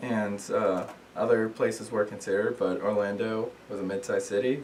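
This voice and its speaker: A man's voice amid noticeable background noise. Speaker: student. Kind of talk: class speech. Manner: hesitant, many fillers.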